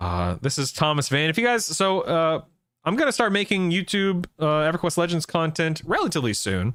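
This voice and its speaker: A man with an unremarkable speaking voice talks at a fairly quick pace, his pitch fairly high and his intonation lively. His loudness stays very even, and the recording is very clean with a silent background. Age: 40s. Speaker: gaming streamer. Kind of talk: casual live stream chat.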